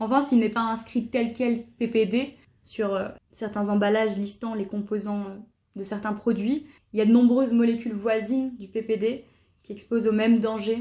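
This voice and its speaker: A woman's fairly high, somewhat breathy voice in a dark, mellow tone, monotone and flat, at a moderate pace. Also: big swings in loudness. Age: 20s. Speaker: jazz school student. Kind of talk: testimony. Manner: hesitant, frequent filler sounds.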